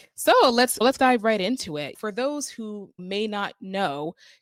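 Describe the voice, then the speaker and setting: In a very clean recording with a silent background and a dry, close sound free of echo, a woman with a Northeastern US accent speaks at a fairly slow pace and medium pitch, upbeat in tone with lively intonation. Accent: Northeast US. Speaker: podcast host. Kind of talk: interview.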